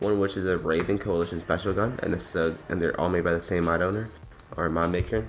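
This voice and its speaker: Over music in the background, a man speaks with a very deep, low pitch and fairly even intonation. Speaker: gaming YouTuber. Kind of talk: game mod review. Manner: casual with many fillers.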